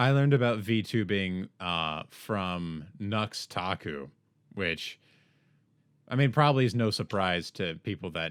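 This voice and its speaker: A man with a plain, everyday voice speaks at a fairly slow pace in a fairly low pitch, his intonation lively, on a very clean recording with a silent background. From United States. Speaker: podcast host. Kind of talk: podcast interview.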